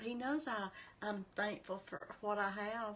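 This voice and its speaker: The tone is bright and sharp. The pace is very slow. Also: woman. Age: 60s. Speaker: faith vlogger. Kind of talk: casual devotional talk.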